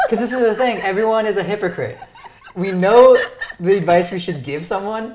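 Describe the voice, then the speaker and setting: The speech moves at a fairly quick pace with ordinary pitch variation. Audible room echo and noticeable background noise are both present. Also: man, high pitch for a man. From Ontario, Canada. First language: Romanian. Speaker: YouTuber, interview show host. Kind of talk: casual chat. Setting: dinner at home.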